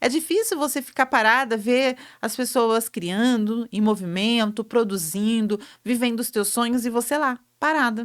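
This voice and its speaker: At a moderate pace, the voice sounds animated, captured in a very clean recording with a silent background. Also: woman. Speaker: entrepreneurship show host. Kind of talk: motivational talk.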